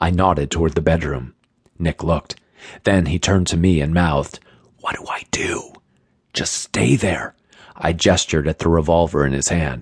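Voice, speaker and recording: A man's very deep, low voice with vocal fry and a dramatic tone, fairly even intonation, moderate pace, and a dry, close sound with no echo. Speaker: audiobook narrator. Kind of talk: audiobook narration. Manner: tense, hushed, dramatic.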